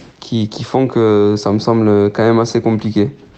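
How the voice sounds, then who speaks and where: Here a man talks at a medium pitch with monotone, flat intonation. There is noticeable background noise. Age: 20s. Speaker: professional footballer. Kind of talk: phone interview. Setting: phone call. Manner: halting.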